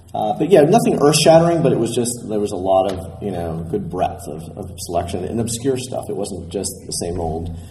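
Over noticeable background noise, a man with a fairly low pitch talks at a moderate pace with hardly any pauses, his pitch swinging very widely. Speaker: vintage toy collector. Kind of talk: casual panel chat.

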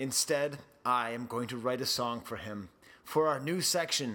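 With an American accent, a man speaks in a plain, everyday voice with ordinary pitch variation. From Boston, US. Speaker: podcast host. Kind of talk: casual chat.

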